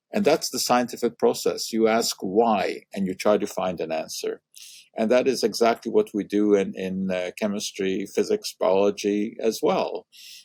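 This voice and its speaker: A man with a Hungarian accent is heard in a dry, close sound with no echo. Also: moderate pace. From Montreal, Canada (born in Hungary). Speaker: science communicator, chemistry professor. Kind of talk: interview conversation. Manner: hesitant with frequent uh fillers.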